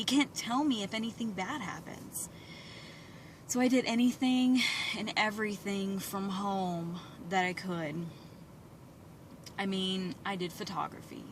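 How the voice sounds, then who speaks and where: A woman at a fairly slow pace, with long, frequent pauses, ordinary pitch variation and noticeable background noise. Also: medium pitch for a woman. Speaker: beauty products seller. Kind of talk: personal vlog. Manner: rambling, off-track.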